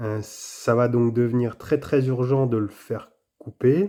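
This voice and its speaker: Recorded very cleanly against a silent background, a man speaks at a medium pitch with a dark, mellow tone. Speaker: tarot player commentator. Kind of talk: live commentary of own card game. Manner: hesitant, many filler sounds.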